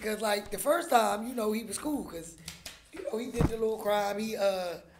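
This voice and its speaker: Speech moves at a moderate pace under noticeable background noise. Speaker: internet radio show host. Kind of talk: casual chat.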